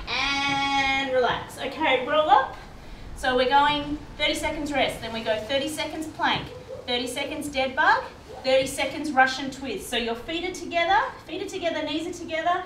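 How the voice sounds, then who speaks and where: A woman's high, upbeat voice, with ordinary pitch variation, comes through light background noise and audible room echo. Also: moderate pace. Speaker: fitness instructor. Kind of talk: guided workout class, instructing exercises with cues and countdowns. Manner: brisk, upbeat, encouraging; clear, directive, rhythmic counting. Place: garage. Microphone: camera far.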